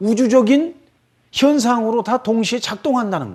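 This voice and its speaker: A man talks with a slight Chungcheong accent and ordinary pitch variation. The background is quiet. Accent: slight Chungcheong dialect slips out. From Korea, Chungcheong family. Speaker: lecturer on Buddhism. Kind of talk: radio lecture. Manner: casual, conversational.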